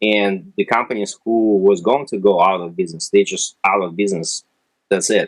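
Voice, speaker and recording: Speaking with a Russian accent, a man with a fairly low pitch moves at a moderate pace with ordinary pitch variation in a dry, close sound with no echo. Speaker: retail analytics company representative. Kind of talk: interview. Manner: hesitant, many fillers.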